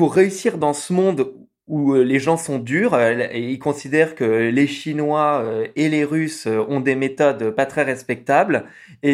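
A man with an unremarkable speaking voice and a fairly high pitch speaks at a fairly slow pace with ordinary pitch variation in a very clean recording with a silent background. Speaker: podcaster and traveller. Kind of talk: interview.

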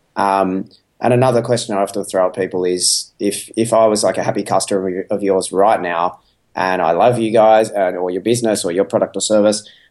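Against a quiet background, a man speaks in a plain, everyday voice at a fairly low pitch. His pace is fairly quick and his intonation fairly even. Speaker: podcast guest, entrepreneur. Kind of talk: casual interview chat. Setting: home by the beach, remote call.

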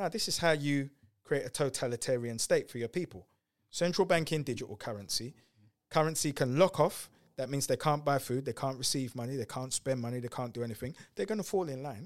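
In an ordinary speaking voice, a man talks at a fairly quick pace with lively intonation and a fairly high pitch, on a very clean recording with a silent background. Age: 40s. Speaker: entrepreneur and speaker. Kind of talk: podcast interview.

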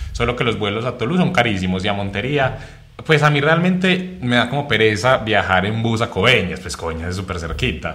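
A man talks at a fairly quick pace with very wide pitch swings. Audible room echo and noticeable background noise surround him. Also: medium pitch for a man. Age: 20s. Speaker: content creator. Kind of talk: casual interview chat.

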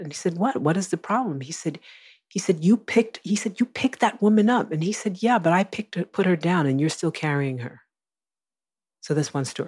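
A somewhat breathy woman's voice, fairly low in pitch, with lively intonation at a fairly quick pace, in a very clean recording over a silent background. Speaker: Buddhist teacher and activist. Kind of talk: interview.

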